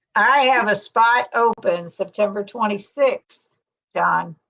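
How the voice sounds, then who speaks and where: At a very slow pace, a woman with an American accent speaks with ordinary pitch variation. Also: dry, close sound with no echo. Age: 60s. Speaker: keto YouTuber. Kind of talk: casual chat.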